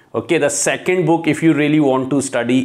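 A slightly mellow tone with ordinary pitch variation. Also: man.

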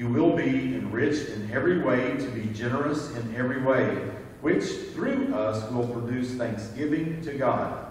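Over light background noise and strong room echo, a man talks at a moderate pace with ordinary pitch variation. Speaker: scripture reader at service. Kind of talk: scripture reading. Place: church.

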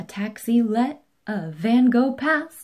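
A woman speaks slowly with lively intonation, her fairly high voice carrying a slightly mellow tone.

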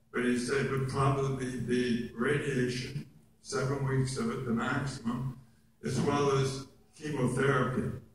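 Medium in pitch and warm in tone, a man's voice comes through. Background noise is noticeable. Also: fairly slow pace. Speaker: oral cancer survivor and actor, guest speaker. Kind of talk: personal testimony speech to an audience. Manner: warm, self-deprecating humor.

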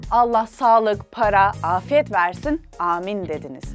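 A woman's playful, lively-toned voice at a fairly slow pace, dry with no echo, faint music behind. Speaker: web show host. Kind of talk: humorous biography narration. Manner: casual, playful. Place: studio. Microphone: lapel.

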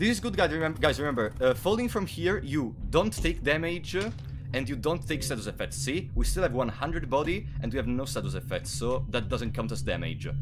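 A man's fairly quick speech with hardly any pauses, in an Italian accent, amid audible room echo and music in the background. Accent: Italian accent, non-native English. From Italy. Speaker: gaming streamer. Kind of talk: live gameplay stream commentary. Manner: frequent filler hesitations.

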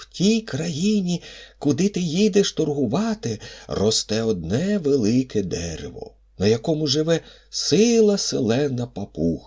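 Moderate speed and fairly high pitch in a put-on character voice from a man. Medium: read story.

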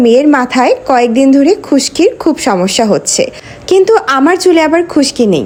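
A woman with a high-pitched voice swings her pitch very widely while her loudness stays very even. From Bangladesh. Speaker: lifestyle vlogger. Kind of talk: vlog tutorial. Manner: animated.

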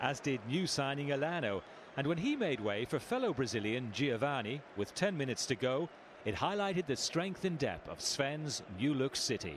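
A man with a normal speaking voice moves at a moderate pace, his fairly high pitch carried by lively intonation. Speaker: documentary narrator. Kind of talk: scripted narration.

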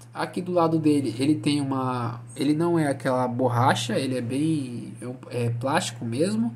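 A man talks at a fairly slow pace, his pitch varying in an ordinary way. Room echo can be heard around his voice. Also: medium pitch for a man. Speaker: gaming YouTuber reviewing products. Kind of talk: product review video. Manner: casual, halting with fillers.

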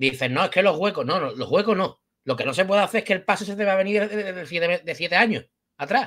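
A man talks at a very fast pace in a high pitch. His tone is animated and the background is quiet. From Spain. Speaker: football youtuber. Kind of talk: post-match football talk. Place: home room. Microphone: webcam.

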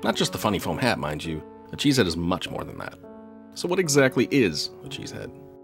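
A man talks fairly quickly. Music can be heard behind him. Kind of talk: humorous documentary trailer narration.

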